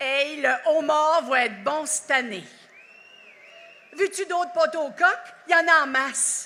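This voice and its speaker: A woman's high, raised and projected voice in an Acadian accent, very slow with long, frequent pauses and ordinary pitch variation. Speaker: actress giving a national speech. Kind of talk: festival speech. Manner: animated.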